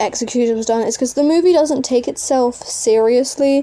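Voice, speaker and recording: A woman's high-pitched voice with music in the background. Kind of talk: casual talk to camera.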